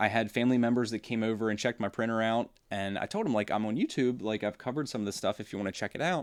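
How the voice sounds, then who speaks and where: A man talks at a very fast pace with fairly even intonation and hardly any pauses. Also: medium pitch for a man, very clean recording, silent background. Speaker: 3D printing YouTuber. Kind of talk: casual live-stream talk to viewers. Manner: rambling, hesitant.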